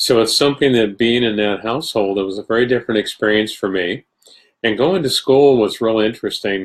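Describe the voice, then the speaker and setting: A plain, everyday voice: a man at medium pitch with an American accent, fairly quick pace and ordinary pitch variation. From New York State. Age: 60s. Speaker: spiritualist medium and teacher. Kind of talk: casual talk to a live online audience. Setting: live video stream.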